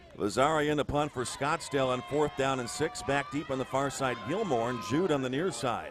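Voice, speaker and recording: A man speaks at a moderate pace with a medium pitch, over noticeable background noise. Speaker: play-by-play sports announcer. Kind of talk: live football play-by-play call.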